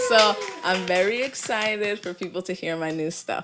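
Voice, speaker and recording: Her speech comes at a moderate pace. The woman has a New York accent. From New York City, Flatbush, Brooklyn. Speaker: influencer and R&B singer-songwriter. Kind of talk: podcast interview.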